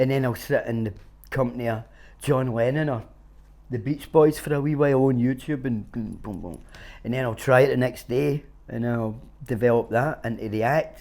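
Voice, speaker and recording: A man speaks with a Glaswegian accent at a medium pitch. His pace is moderate and his intonation fairly even. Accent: Glaswegian Scottish. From Glasgow, Scotland. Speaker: street busker. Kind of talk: interview answer. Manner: casual, sweary.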